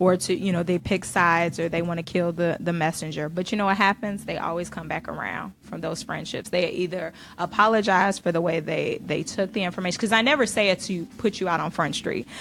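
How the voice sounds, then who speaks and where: A woman with an unremarkable speaking voice talks at a fairly quick pace with hardly any pauses. Her pitch is fairly low, with ordinary variation. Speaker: radio show co-host. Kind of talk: casual radio talk show banter.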